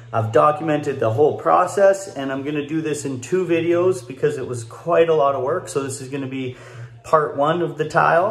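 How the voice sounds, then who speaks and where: Fairly quick talk from a man, with ordinary pitch variation and audible room echo. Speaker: home builder vlogger. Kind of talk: casual vlog chat. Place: home room. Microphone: phone near.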